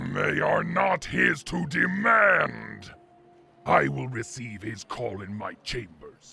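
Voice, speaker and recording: A man uses a put-on character voice. It sits at medium pitch and moves at a very slow pace. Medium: audio drama. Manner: haughty, imperious.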